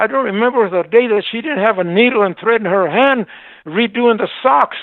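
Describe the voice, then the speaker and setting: High-pitched man with an American accent, moderate pace and ordinary pitch variation. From Arizona, Seligman. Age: 80s+. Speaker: shop owner. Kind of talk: interview. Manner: animated.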